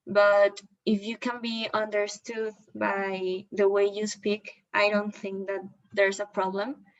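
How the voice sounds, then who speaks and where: A woman with a slight non-native accent and monotone, flat intonation. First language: not English. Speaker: student presenter. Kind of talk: prepared discussion of a documentary. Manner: halting, with some fillers.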